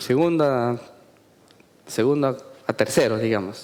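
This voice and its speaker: Background noise is clearly audible as a man talks with lively intonation. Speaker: preacher. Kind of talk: sermon. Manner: animated.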